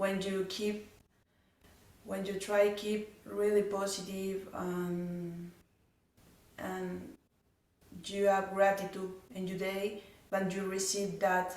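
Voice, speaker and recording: A woman's medium-pitched, monotone, flat delivery at a very slow pace, with long, frequent pauses and audible room echo. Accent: non-native. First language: not English. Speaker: audience member. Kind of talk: question at a talk. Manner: halting.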